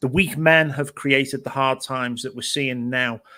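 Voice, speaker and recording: Recorded very cleanly against a silent background, a man with a British accent speaks at medium pitch and a moderate pace in a bright, sharp tone. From Britain. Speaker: panelist. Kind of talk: panel discussion.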